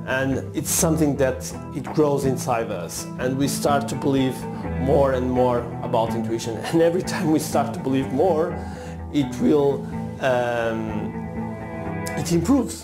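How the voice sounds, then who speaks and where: Clear music plays in the background as a man with a non-native accent speaks at a fairly slow pace with long, frequent pauses. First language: not English. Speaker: martial artist, self-development coach. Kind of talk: casual talk to camera. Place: studio. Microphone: lapel.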